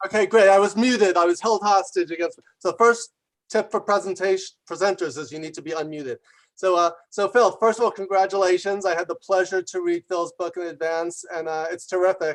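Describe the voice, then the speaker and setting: A high-pitched man's voice at a fairly quick pace, with big swings in loudness. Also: fairly even intonation. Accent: New York. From New York. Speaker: business author and executive. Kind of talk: congratulatory remarks on video call. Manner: fast.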